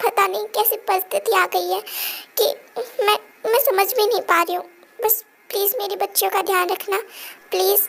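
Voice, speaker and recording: A woman puts on a character voice at an extremely high pitch. She leaves long, frequent pauses. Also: moderate pace. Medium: read story.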